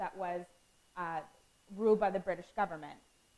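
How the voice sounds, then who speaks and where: The speaker is a woman. Her pitch shifts in an ordinary way. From Canada. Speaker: student presenter. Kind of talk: lecture. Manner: fast.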